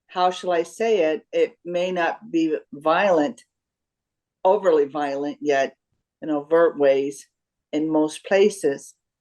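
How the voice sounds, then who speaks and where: Speaking at a very slow pace with long, frequent pauses, a woman uses a fairly low pitch and ordinary pitch variation. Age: 60s. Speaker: retired educator. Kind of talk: group discussion.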